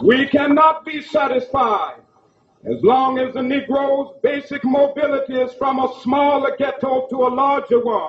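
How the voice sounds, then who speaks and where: Speaking at a fairly slow pace, a man uses an extremely high pitch and fairly even intonation. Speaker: civil rights leader. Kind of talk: political speech to a mass rally. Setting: outdoor rally. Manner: rhythmic, powerful oratorical cadence.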